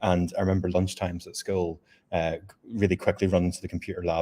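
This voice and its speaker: On a very clean recording with a silent background, a man with a Northern Irish accent speaks with a very deep, low pitch and a dark, mellow tone. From rural Northern Ireland. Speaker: software engineer. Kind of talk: panel discussion.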